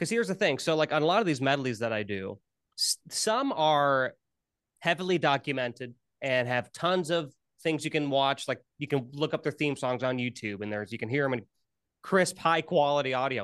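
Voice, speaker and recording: Over a quiet background, a man with an American accent and an unremarkable speaking voice talks at a moderate pace, his fairly high pitch carrying lively intonation. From US Midwest. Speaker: musician and YouTuber. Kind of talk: casual interview chat.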